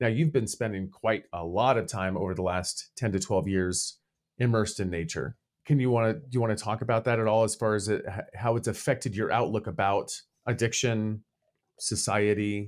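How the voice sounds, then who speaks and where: A man speaks at a fairly quick pace in an ordinary speaking voice, his pitch fairly low with ordinary variation. The recording is very clean, with a silent background. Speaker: podcast co-host in addiction recovery. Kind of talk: casual chat.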